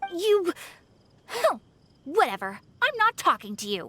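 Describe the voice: In a put-on character voice, a woman speaks at a fairly slow pace with an extremely high pitch, a bright, sharp tone and big pitch swings.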